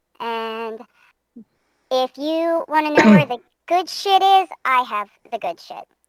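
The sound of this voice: A female-sounding, put-on character voice speaks at high pitch. The pace is fairly slow, with long, frequent pauses.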